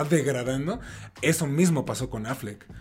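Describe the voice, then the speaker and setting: Over noticeable background noise, a man speaks at a medium pitch with a Mexican accent. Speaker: podcast host. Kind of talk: casual chat.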